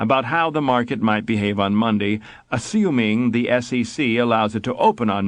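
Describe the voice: Plain reading aloud fills the clip.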